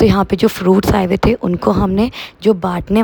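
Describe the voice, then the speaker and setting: The speech has monotone, flat intonation, with noticeable background noise. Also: woman. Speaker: vlogger. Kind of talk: vlog narration.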